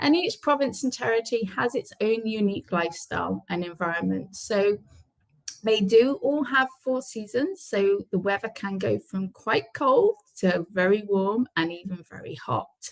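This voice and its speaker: Her voice has a British accent and fairly high pitch. The woman speaks at a moderate pace with lively intonation. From UK. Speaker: immigration careers and relocation manager. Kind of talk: webinar presentation. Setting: online webinar.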